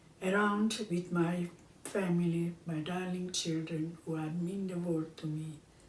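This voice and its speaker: Amid audible room echo, a woman speaks at a fairly slow pace in a fairly low pitch. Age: 90s. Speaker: home cooking show host. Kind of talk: casual chat. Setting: at home, filmed by her son. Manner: halting.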